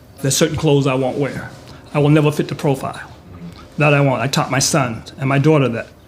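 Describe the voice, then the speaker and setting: Against noticeable background noise, a man talks at a very fast pace in a fairly high pitch with fairly even intonation. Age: 60s. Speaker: community resident. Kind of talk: group discussion.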